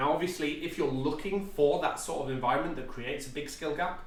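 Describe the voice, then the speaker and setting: A man with a British accent, fairly high in pitch, fairly even in intonation, with audible room echo. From UK. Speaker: tabletop gaming youtuber. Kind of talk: tutorial. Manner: casual with frequent fillers.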